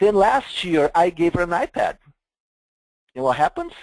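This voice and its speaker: A man speaks with a Brazilian accent over a quiet background. The sound is dry and close, with no echo. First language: Portuguese. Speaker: software vendor presenter. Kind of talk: webinar product presentation.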